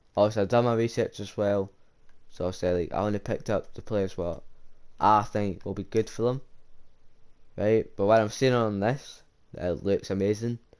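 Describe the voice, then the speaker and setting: A man speaks at a moderate pace in a fairly low pitch, his intonation fairly even, with long, frequent pauses against a quiet background. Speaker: gaming youtuber. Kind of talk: casual commentary on video game.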